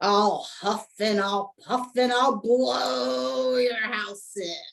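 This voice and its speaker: A put-on character voice growls at a fairly high pitch. The delivery is very slow. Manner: growling, menacing.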